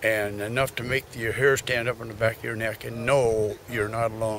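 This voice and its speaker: A man's medium-pitched, flat, monotone delivery in an American accent, with noticeable background noise. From US Pacific Northwest, Washington coast. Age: 60s. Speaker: local hunter and former mill worker. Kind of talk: interview. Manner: halting.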